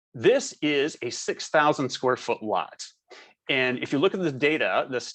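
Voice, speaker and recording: A man with a normal speaking voice and lively intonation, at a fairly slow pace, against a quiet background. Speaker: architect. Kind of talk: webinar presentation. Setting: video call.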